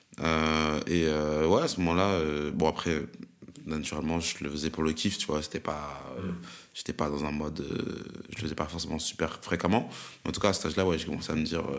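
The man's voice is very deep and low, with fairly even intonation. Long, frequent pauses break up his speech. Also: fairly quick pace. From France, Amiens. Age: 20s. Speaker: rapper and beatmaker. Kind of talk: casual interview.

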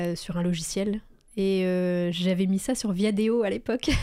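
In a very clean recording with a silent background, a woman speaks at a medium pitch with a dark, mellow tone and fairly even intonation. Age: 30s. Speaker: entrepreneur and coach for freelancers. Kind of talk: casual interview chat.

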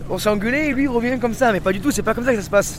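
A man speaks at a very fast pace in an extremely high pitch, with ordinary pitch variation. Noticeable background noise runs underneath. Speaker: shellfish farmer. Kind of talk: interview.

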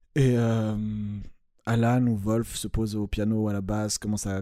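The very clean recording has a silent background and carries a dark, mellow tone. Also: man. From French-speaking Switzerland, Vaud. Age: 20s. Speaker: hip-hop beatmaker. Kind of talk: casual interview. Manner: halting, repetitive.

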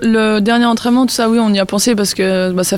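Noticeable background noise surrounds a woman's voice. She speaks at a fairly quick pace with fairly even intonation. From northern France. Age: 30s. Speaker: retired professional tennis player. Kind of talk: interview. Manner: halting, many fillers.

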